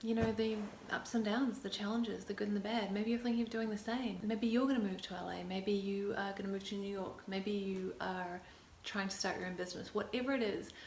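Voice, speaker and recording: A woman with a New Zealand accent speaks at a fairly quick pace in a monotone, flat intonation, with audible room echo and noticeable background noise. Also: medium pitch for a woman. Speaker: actor and vlogger. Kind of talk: casual vlog talk to camera. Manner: hesitant, many fillers.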